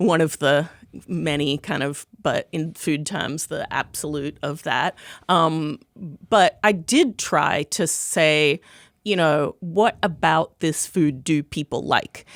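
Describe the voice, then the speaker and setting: A woman's very deep, low voice with an American accent at a very slow pace, dry and close with no echo, on a very clean recording with a silent background. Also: ordinary pitch variation. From Australia (Melbourne). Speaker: food critic and author. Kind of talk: podcast interview.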